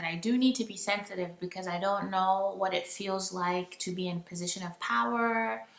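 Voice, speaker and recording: A woman talks at a fairly quick pace in a medium pitch with ordinary pitch variation. Her tone is bright and sharp. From Nigeria. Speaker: vlogger. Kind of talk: casual vlog monologue. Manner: halting.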